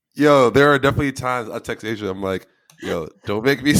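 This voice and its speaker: With a New Jersey accent, a man speaks at medium pitch with ordinary pitch variation. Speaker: podcast co-host. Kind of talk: casual chat. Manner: stutters when excited.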